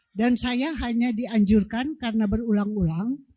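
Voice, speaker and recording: A woman's somewhat breathy voice with a dark, mellow tone comes through in a very clean recording with a silent background. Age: 70s. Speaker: audience member asking a question. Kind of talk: audience question.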